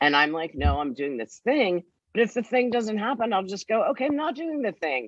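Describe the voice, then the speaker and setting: Her pitch medium and swinging very widely, a woman speaks at a fairly quick pace. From New York. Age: 60s. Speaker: television producer. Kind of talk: interview conversation. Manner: animated.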